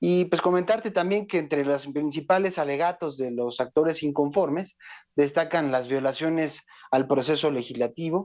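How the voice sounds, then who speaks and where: Speaking at a fairly quick pace with ordinary pitch variation, a man has a fairly high pitch and an ordinary speaking voice against a quiet background. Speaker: legislative researcher. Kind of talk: phone interview. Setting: phone call. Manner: formal.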